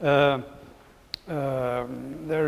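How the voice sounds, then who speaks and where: Audible room echo and noticeable background noise surround a man speaking at a fairly high pitch with fairly even intonation. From Belgium. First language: French. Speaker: philosophy professor. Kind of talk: Q&A answer after a lecture. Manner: halting.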